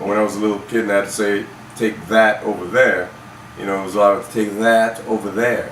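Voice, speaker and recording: Through audible room echo and noticeable background noise, a man with an American accent speaks at a very fast pace with monotone, flat intonation. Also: fairly low pitch for a man. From US Virgin Islands (Saint Croix), then Florida from 13. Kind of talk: casual chat.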